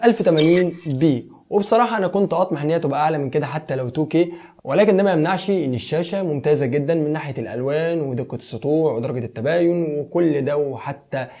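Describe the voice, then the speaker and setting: In an Egyptian accent, the speaker runs on with hardly any pauses in a dark, mellow tone. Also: man, fairly high pitch for a man, ordinary pitch variation, moderate pace, very clean recording, silent background. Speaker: tech YouTuber. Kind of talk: product review.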